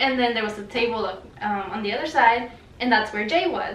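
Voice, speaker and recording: A woman with a Spanish accent speaks at a fairly quick pace in a fairly high pitch with ordinary pitch variation. Noticeable background noise and audible room echo fill the recording. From Mexico. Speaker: vlogger. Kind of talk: casual storytelling.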